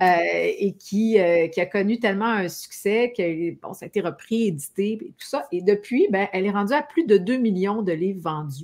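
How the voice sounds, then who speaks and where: A woman's medium-pitched voice in a Quebec accent, with big swings in loudness. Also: lively intonation, moderate pace. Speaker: talk show host. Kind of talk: interview. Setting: live stream.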